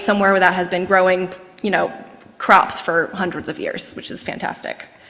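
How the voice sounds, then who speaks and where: A woman talks. Behind her, background noise is noticeable. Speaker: executive director of historic house nonprofit. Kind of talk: lecture. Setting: lecture hall with in-person and online audience. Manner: fast; animated.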